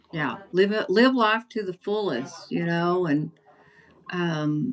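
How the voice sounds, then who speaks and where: This woman's fairly low voice has lively intonation. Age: 70s. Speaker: YouTube creator. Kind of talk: casual chat.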